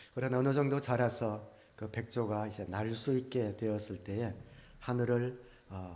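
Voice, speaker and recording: A man speaks at a fairly slow pace with fairly even intonation. Audible room echo follows his voice. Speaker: pastor. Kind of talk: sermon. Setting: church. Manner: many filler sounds (아, 어). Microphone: good mic, speaking from a distance.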